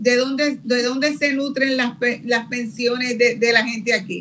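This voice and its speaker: A woman with a high pitch speaks at a fairly slow pace, with fairly even intonation and very even loudness, over noticeable background noise. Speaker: demographer, retired professor. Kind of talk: interview.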